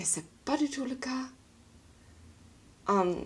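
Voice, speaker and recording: This woman speaks. She has a strong German accent. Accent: strong foreign (German) accent in French. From Germany. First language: German (speaking French). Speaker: vlogger. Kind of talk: casual vlog monologue. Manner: halting, with hesitations.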